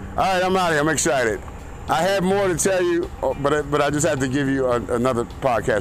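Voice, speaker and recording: A man talks at a fairly quick pace with lively intonation. Audible room echo and noticeable background noise surround him. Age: 50s. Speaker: golf course worker and podcaster. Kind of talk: casual vlog chat. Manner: animated.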